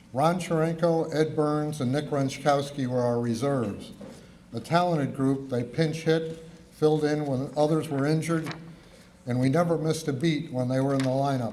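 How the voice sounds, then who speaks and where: With audible room echo, a man with an American accent speaks at a moderate pace in a fairly high pitch with fairly even intonation. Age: 70s. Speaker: former college baseball player. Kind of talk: acceptance speech read aloud. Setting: awards ceremony.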